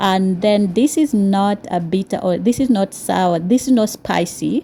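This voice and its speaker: A woman with a Kenyan accent, a dark, mellow, somewhat breathy tone, ordinary pitch variation and a fairly slow pace. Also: medium pitch for a woman. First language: Swahili. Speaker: cooking vlogger. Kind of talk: cooking tutorial. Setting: home kitchen. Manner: hesitant, many fillers.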